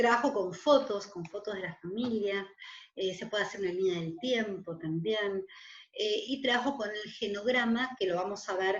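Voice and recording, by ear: A woman speaks at a medium pitch and a moderate pace with ordinary pitch variation, and audible room echo surrounds her.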